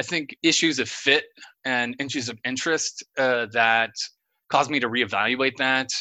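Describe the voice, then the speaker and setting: A man with a slight Oklahoma accent speaks at a fairly slow pace and medium pitch, his tone bright and sharp. His intonation stays fairly even over a quiet background. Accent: slight Oklahoma twang. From rural Oklahoma. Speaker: mechanical engineer. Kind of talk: casual interview. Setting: remote recording.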